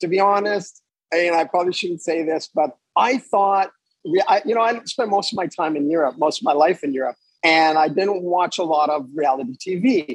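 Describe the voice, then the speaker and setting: A man with a Montreal accent speaks in a high pitch. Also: ordinary pitch variation, moderate pace. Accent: Montreal anglophone Canadian. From Canada, Montreal (English-speaking area). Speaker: yacht captain. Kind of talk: casual interview. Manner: hesitant, repeats words.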